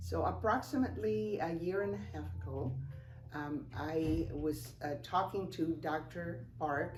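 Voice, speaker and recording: A woman speaks with a Spanish accent in a very deep, low voice. The room adds an audible echo. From Cuba. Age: 70s. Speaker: customer giving a testimonial. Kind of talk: testimony. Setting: office. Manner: hesitant, many fillers.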